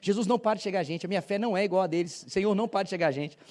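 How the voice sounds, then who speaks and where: At a very fast pace, a man speaks with a high pitch, ordinary pitch variation and a dark, mellow tone. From Brazil, Paraíba (Campina Grande), later São Paulo. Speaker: visiting pastor. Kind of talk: sermon. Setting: church.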